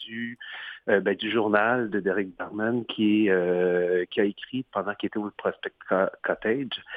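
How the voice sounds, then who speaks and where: A man at a fairly low pitch, very slow pace and fairly even intonation. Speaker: theatre director. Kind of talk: radio interview.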